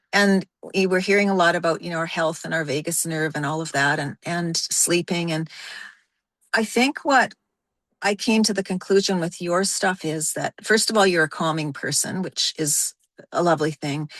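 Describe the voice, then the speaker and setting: A woman speaks at a moderate pace in a plain, everyday voice, fairly low in pitch with ordinary pitch variation. The sound is dry and close with no echo, over a quiet background. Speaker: course participant. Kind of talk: casual chat.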